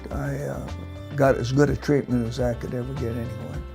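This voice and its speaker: Over music in the background, a man talks with an American accent. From Olympia, Washington. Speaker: retired army colonel, helicopter pilot, Vietnam veteran. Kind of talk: interview answer, testimonial. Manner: hesitant, halting.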